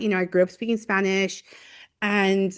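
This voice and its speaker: Against a quiet background, a woman with an American accent speaks at a medium pitch in an animated tone. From Los Angeles, California (Koreatown). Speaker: university professor, theologian. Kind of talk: podcast interview, casual conversation. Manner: animated, many fillers like you know.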